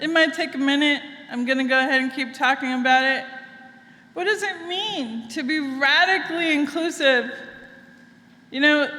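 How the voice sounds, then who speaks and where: Her voice is raised and projected, high in pitch, with a bright, sharp tone. The woman speaks at a moderate pace with ordinary pitch variation, and audible room echo is present. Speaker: minister. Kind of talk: sermon. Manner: conversational, engaging audience.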